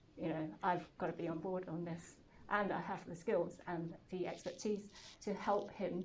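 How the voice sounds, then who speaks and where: At a moderate pace, a woman with a fairly low pitch speaks in a flat, monotone way, with audible room echo. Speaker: startup founder and CEO. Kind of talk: talk to an audience. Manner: hesitant, many fillers.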